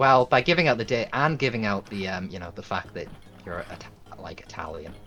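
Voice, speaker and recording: Noticeable background noise sits behind a man talking at a fairly quick pace. His pitch swings very widely and his loudness shifts a lot. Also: medium pitch for a man. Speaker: co-player. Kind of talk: casual chat.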